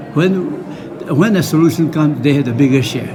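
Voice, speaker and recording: A man's voice over noticeable background noise. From Nagaland, Northeast India. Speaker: peace and reconciliation worker. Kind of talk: interview answer.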